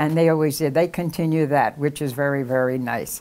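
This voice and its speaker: This is a woman speaking with an American accent. She talks at a moderate pace. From Philadelphia, US. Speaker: oral history interviewee. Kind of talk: casual interview. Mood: warm, nostalgic, smiling. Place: home room. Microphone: lapel.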